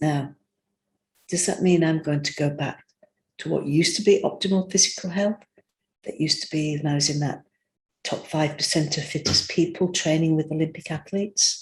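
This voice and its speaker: Moderate pace broken by long, frequent pauses. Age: 60s. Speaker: spiritual speaker sharing personal story. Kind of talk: personal testimony monologue.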